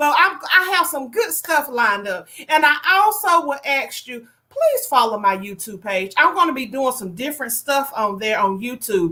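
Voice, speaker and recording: This woman's voice is high-pitched, raised and projected, with a slight Southern US accent, an animated tone, very wide pitch swings, big swings in loudness, a moderate pace and hardly any pauses. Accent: a little country. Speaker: online show host. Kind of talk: casual livestream talk.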